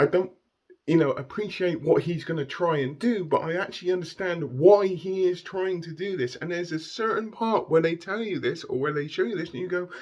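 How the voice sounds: A man's fairly high-pitched voice, slightly mellow in tone, at a fairly quick pace with ordinary pitch variation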